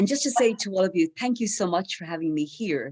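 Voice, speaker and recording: Someone with an Irish accent speaks against a quiet background. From Ireland, teaches in Dublin. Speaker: academic speaker at memorial event; university lecturer.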